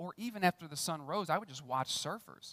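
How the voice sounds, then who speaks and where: Fairly quick and animated, a man speaks high in pitch with lively intonation, the sound dry and close with no echo. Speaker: pastor. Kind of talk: sermon. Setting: church. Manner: loud.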